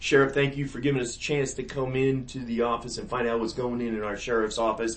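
With a Northern US accent, a man speaks very fast at a medium pitch in a monotone, flat delivery. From US North. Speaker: podcast host. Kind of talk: casual interview. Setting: office.

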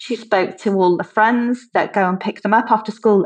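At a moderate pace, the woman's somewhat breathy voice holds a fairly high pitch with ordinary variation. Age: 50s. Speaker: businesswoman and former political candidate. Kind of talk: interview.

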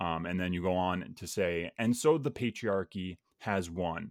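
A man's very deep, low voice at a moderate pace with ordinary pitch variation, on a very clean, silent-background recording with a dry, close sound and no echo. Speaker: podcast host. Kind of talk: casual interview chat.

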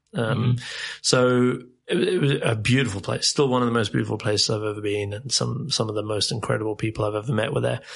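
Talking at a very fast pace, a man with a medium pitch shows vocal fry and ordinary pitch variation. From South Africa and England. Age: 30s. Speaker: podcast guest working in retail. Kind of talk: casual chat. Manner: animated.

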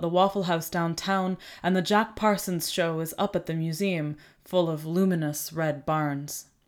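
A woman has a plain, everyday voice, fairly low in pitch with fairly even intonation. The recording is very clean, with a silent background. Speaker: poetry reader. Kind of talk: poem reading aloud. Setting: home recording setup.

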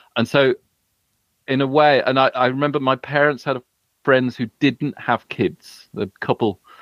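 The speaker has a British accent and a monotone, flat intonation. The pace is moderate, with long, frequent pauses. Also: man, medium pitch for a man. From UK. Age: 40s. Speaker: writer. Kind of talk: casual chat.

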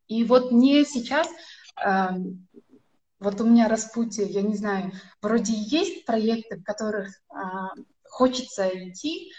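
A woman speaks very slowly in a fairly high, somewhat breathy voice, with lively intonation and big swings in loudness. Her pauses are long and frequent. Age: 20s. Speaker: viewer asking a question. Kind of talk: live Q&A question. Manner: halting.

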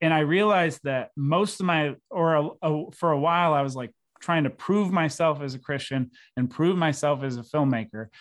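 In an unremarkable speaking voice, a man with an American accent talks at a fairly high pitch. His pace is moderate and his pitch variation ordinary, over a quiet background. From Syracuse, New York, US. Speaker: filmmaker. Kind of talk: casual chat.

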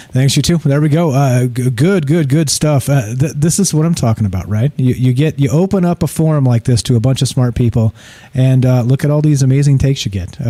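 Somewhat breathy, a man's dark, mellow voice at a medium pitch, fairly quick in pace and very even in loudness. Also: ordinary pitch variation, hardly any pauses. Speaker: radio host. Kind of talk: live call-in radio show chat. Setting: studio, live broadcast. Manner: conversational, friendly.

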